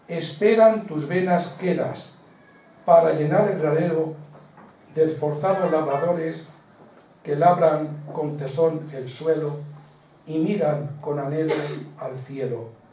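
A man with a fairly high pitch speaks at a very slow pace with long, frequent pauses. Audible room echo and light background noise are present. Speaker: presenter of the book launch; presenter. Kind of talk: book presentation, moderating. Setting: local event in a village hall with audience. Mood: measured, expressive recital. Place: hall. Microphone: camera far.

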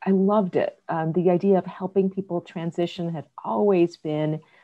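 Against a quiet background, a woman talks at a moderate pace in a fairly low pitch with fairly even intonation. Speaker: business leader in human capital. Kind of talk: panel discussion. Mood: earnest, reflective. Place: home room. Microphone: webcam.

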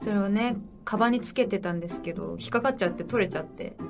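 A woman talks while clear music can be heard behind her. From Japan. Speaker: pop idol. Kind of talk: casual livestream talk. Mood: cheerful, relaxed. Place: home room.

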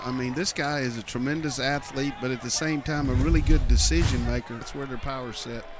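Over noticeable background noise, a man with a medium-pitched voice speaks in an animated tone at a moderate pace. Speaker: color analyst. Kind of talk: live football game analysis. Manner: animated, conversational, explaining plays with folksy asides.

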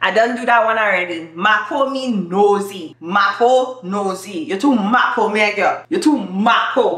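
Her intonation is lively. The woman's voice has audible room echo around it. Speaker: YouTuber. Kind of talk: casual talk to camera. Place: home room. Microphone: camera far.

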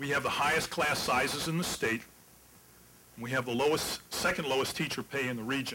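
Noticeable background noise sits behind a man speaking at a fairly quick pace. He has an American accent and fairly even intonation. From West Virginia. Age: old. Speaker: political candidate; candidate. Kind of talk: debate. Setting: stage with audience. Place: hall. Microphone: podium.

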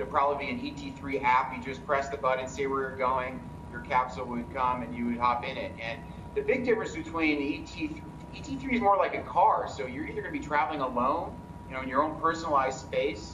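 Fairly quick male talking amid noticeable background noise. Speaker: guest. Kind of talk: interview answer. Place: home room. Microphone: video call.

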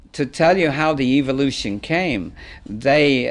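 Vocal fry runs through this man's voice. His intonation is lively. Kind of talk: interview answer. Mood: warm, anecdotal. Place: studio.

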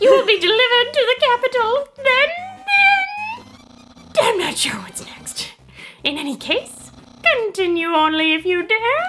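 A woman uses a put-on character voice at a moderate pace, with long, frequent pauses. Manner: pompous, theatrical.

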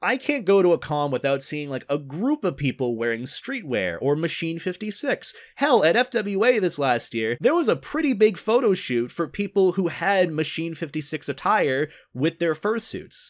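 The pitch swings very widely, with hardly any pauses. The background is quiet. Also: man. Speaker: video creator. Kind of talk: casual commentary vlog. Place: home room. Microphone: studio mic.

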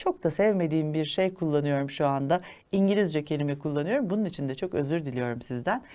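A woman with a very deep, low voice and a dark, mellow tone is heard in a very clean recording with a silent background. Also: ordinary pitch variation, fairly quick pace. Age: 50s. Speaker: holistic living consultant and chef. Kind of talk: educational monologue. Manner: formal.

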